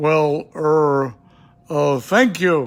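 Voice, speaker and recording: A man puts on a character voice, fairly high in pitch with ordinary pitch variation, over faint background music. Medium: read story.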